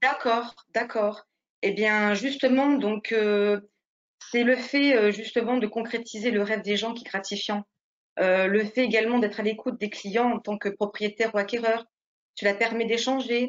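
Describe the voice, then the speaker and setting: A woman with an unremarkable speaking voice and a fairly high pitch talks at a moderate pace with fairly even intonation. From France, Nice. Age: 40s. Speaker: real estate agent. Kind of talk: interview.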